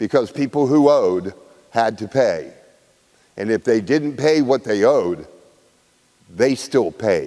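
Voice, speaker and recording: A man with an American accent talks in a dark, mellow tone, leaving long, frequent pauses. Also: medium pitch for a man, ordinary pitch variation, fairly slow pace. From West Virginia, Wheeling. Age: 50s. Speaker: author and local historian, guest speaker. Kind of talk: guest talk to a class.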